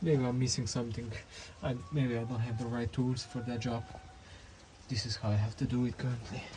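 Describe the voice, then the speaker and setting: A man with a non-native accent and medium pitch speaks at a fairly quick pace, keeping his intonation fairly even. He takes long, frequent pauses, and there is noticeable background noise. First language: not English. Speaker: mechanic doing a repair tutorial. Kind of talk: tutorial. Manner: halting, with many fillers.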